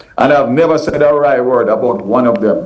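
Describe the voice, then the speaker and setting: There is audible room echo around this man. He speaks with ordinary pitch variation. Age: 60s. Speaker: politician. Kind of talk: news interview.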